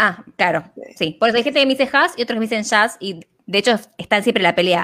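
Bright and sharp in tone, a woman with a fairly high pitch and lively intonation speaks at a fairly quick pace. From Argentina. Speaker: holistic therapist and business coach. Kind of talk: interview conversation.

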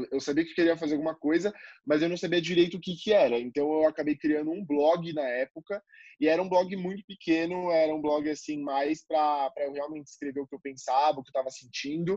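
Fairly high-pitched yet dark and mellow in tone, a man talks at a fairly quick pace with fairly even intonation, in a dry, close sound with no echo. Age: 20s. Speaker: marketing student and content creator. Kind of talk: casual interview.

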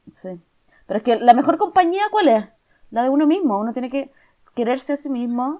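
A woman speaks fairly quickly with a Chilean accent, her high voice moving in very wide pitch swings. Her loudness swings widely, and she leaves long, frequent pauses. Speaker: podcast co-host. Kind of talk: casual chat.

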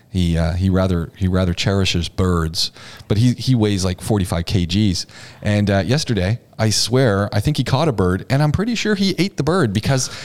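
The man has an unremarkable speaking voice with fairly low pitch at a moderate pace. His intonation is lively and his loudness very even. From Canada, Ontario. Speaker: podcast host. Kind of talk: casual chat. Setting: studio.

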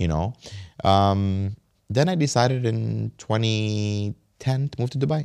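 A man with an American accent talks fairly slowly in an unremarkable speaking voice. His pitch is fairly low and his intonation lively. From Kuwait / US. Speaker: businessman and reality TV cast member. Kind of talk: casual interview conversation.

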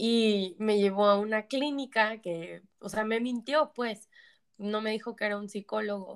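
In an unremarkable speaking voice, a woman talks at a fairly slow pace with a fairly high pitch and fairly even intonation. The recording is very clean, with a silent background. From Mexico, San Luis Potosí. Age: 20s. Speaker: addiction therapist. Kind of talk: testimony.

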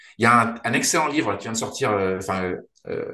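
Bright, sharp tone from a man at a moderate pace, ordinary pitch variation, and audible room echo. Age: 40s. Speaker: startup founder and CEO. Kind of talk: interview. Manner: halting, many repetitions and fillers.

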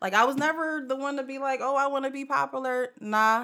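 A woman speaks in a raised, projected voice with a bright, sharp tone and a high pitch. Her pitch varies in an ordinary way, and the recording is very clean with a silent background. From New Jersey (Jersey City, then Willingboro area). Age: 30s. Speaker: podcast host. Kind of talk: casual chat.

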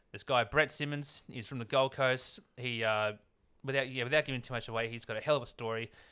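A man with an Australian accent, medium pitch, fairly even intonation and a fairly quick pace, on a very clean recording with a silent background. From Sydney, Australia (northern beaches). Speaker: handyman. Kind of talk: casual chat. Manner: halting.

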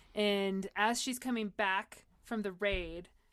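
On a very clean recording with a silent background, a woman speaks in a plain, everyday voice with fairly even intonation. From US West Coast (San Diego). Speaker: playwright. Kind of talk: casual chat.

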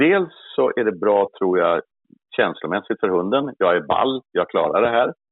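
Loudness stays very even from this man. He speaks at a fairly slow pace. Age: 60s. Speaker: hunting dog trainer. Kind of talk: interview.

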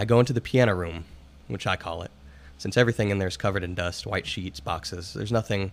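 With ordinary pitch variation, the delivery is a natural reading voice.

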